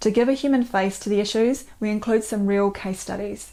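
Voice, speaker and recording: At a moderate pace, a woman with a New Zealand accent and a fairly high voice keeps her intonation fairly even in a very clean recording over a silent background. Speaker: doctor and author. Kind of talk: book promotion talk.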